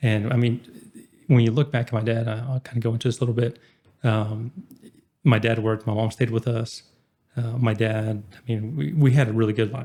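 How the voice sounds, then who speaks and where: Dark, mellow and somewhat breathy, a man's medium-pitched voice holds a fairly even intonation. He talks at a fairly quick pace, yet leaves long, frequent pauses. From Oklahoma, small town Kingfisher. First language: Spanish. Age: 20s. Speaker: entrepreneur. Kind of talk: podcast interview.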